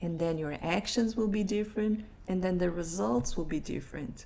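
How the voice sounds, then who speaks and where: A woman with a Brazilian Portuguese accent speaks at a moderate pace, her fairly low pitch showing ordinary variation. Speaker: life coach. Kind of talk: live online presentation. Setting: live stream.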